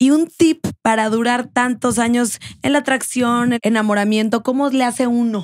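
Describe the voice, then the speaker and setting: At a moderate pace, a woman speaks high and animated, her loudness very even against a quiet background. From Mexico. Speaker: podcast host. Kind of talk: interview. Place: studio. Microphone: studio mic.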